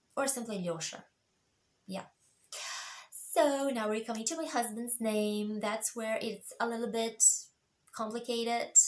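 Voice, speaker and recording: With a Russian accent, a woman speaks at a fairly slow pace in a fairly high pitch with ordinary pitch variation. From Russia, Moscow. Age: 40s. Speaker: vlogger. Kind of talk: casual chat. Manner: halting, many fillers.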